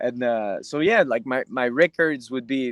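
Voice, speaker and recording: A man speaks in a medium pitch with ordinary pitch variation. The sound is dry and close with no echo, on a very clean recording with a silent background. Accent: Quebec. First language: French. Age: 20s. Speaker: UFC fighter. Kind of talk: interview. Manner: halting.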